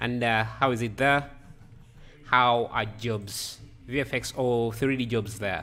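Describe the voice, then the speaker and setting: A man with a non-native accent and a bright, sharp tone speaks at a very slow pace and medium pitch, with fairly even intonation and long, frequent pauses. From Africa. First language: not English. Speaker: 3D artist livestreamer. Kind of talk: live stream tutorial chat. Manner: halting.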